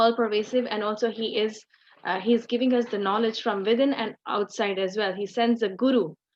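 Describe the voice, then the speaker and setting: Here is an ordinary speaking voice with fairly even intonation. It moves at a moderate pace. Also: woman. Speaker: religious teacher. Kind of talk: online scripture class.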